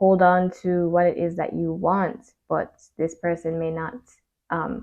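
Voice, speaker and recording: The voice belongs to a woman with a medium pitch. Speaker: tarot reader. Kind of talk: tarot reading to camera. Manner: hesitant with many fillers.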